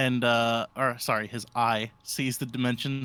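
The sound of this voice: Someone reads a passage aloud. The delivery is an unforced reading voice.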